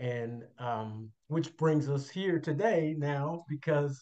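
With an American accent, a man talks at a very slow pace and a fairly high pitch, with ordinary pitch variation. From Chicago, US Midwest. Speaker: retired pastor. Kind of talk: faith testimony interview.

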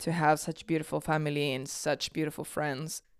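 In a Spanish accent, a woman speaks with a very deep, low pitch and monotone, flat intonation on a very clean recording with a silent background. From Argentina, Tucumán. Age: 20s. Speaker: podcast host. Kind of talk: casual monologue.

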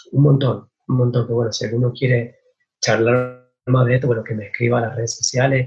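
The voice is somewhat breathy and moves at a fairly quick pace. Its intonation stays monotone and flat. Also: man, medium pitch for a man. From Argentina, San Martín, Mendoza. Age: 20s. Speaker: winemaker. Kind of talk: interview.

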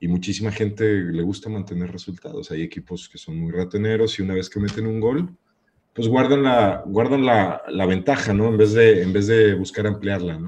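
This man has an unremarkable speaking voice, fairly low in pitch, with ordinary pitch variation. He talks at a moderate pace, with big swings in loudness. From Guadalajara, Jalisco, Mexico. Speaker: podcast guest. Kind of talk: casual chat.

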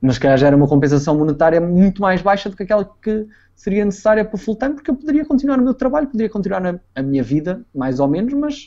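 Here a man talks at a very fast pace with hardly any pauses. His pitch is high and swings very widely, and his tone is dark and mellow. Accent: European Portuguese. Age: 20s. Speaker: former esports player. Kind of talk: interview. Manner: halting.

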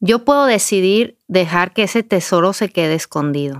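A woman with an ordinary speaking voice and a medium pitch, at a moderate pace, in a very clean recording with a silent background and a dry, close sound with no echo. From Mexico, Durango. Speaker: writer and speaker. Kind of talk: interview. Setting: studio.

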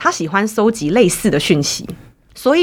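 In a Taiwanese accent, a woman speaks at a medium pitch and a moderate pace, her pitch swinging very widely over a very clean, silent background. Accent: Taiwanese Mandarin. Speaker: counseling psychologist. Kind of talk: interview.

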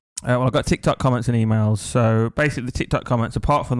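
Delivery is very fast in an English accent, with fairly even intonation. The recording is very clean, with a silent background. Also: man. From England. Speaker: podcast co-host. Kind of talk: casual chat. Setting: studio.

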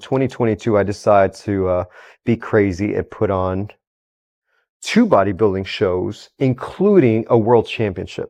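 A man with a Texan accent speaks at a fairly low pitch in a dark, mellow tone. His intonation stays fairly even against a quiet background. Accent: Texan American English. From Houston, Texas (Mexican-born parents). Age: 30s. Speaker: entrepreneur, bodybuilding event promoter, ex-paramedic. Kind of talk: casual chat. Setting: studio.

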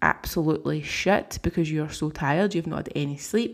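Music in the background behind a woman's very deep, low voice in a British accent, moderate pace and ordinary pitch variation. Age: 30s. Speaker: podcast host and online fitness coach. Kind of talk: casual solo podcast Q&A.

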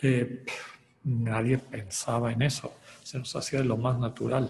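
Man at medium pitch, fairly slow pace, audible room echo. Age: 60s. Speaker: spiritual retreat leader. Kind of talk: lecture.

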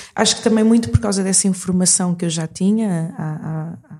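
This woman has a medium pitch and ordinary pitch variation. She speaks at a moderate pace. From Portugal, moved from Mozambique at age 6. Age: 40s. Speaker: singer and performer. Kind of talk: interview conversation. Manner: halting, many repetitions and fillers.

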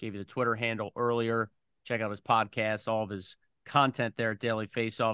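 A man with an American accent speaks at a fairly quick pace in a medium pitch, with a bright, sharp tone and monotone, flat intonation, in a dry, close sound with no echo. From Philadelphia area, US. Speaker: radio play-by-play hockey broadcaster, podcast host. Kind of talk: podcast interview; solo podcast monologue.

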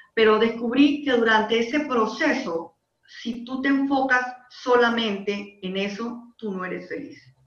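A fairly high-pitched woman at a fairly slow pace, with ordinary pitch variation and audible room echo. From Panama. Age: 30s. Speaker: life coach and industrial engineer. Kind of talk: interview conversation.

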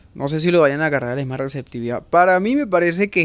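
A man's pitch rises and falls in an ordinary way while music plays behind him. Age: 20s. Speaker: podcast host. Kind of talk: casual monologue. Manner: halting.

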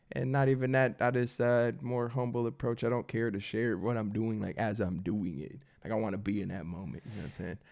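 A man with an American accent and a plain, everyday voice, medium in pitch with ordinary pitch variation, talking at a fairly quick pace with hardly any pauses over a quiet background. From US Midwest, Michigan. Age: 20s. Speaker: barber. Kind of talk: casual chat.

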